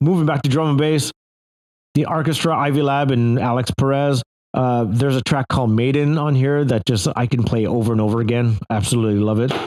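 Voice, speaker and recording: Moving at a fairly quick pace, a man speaks in a medium pitch with ordinary pitch variation and very even loudness. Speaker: audio equipment reviewer. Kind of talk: product review monologue. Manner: hesitant, many fillers; casual, conversational.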